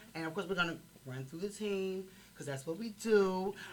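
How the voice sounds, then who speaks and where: A woman talks at a very fast pace in an animated tone, with an American accent. Noticeable background noise sits behind her. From Chicago. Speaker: podcast host. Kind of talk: casual interview chat. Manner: animated, loud.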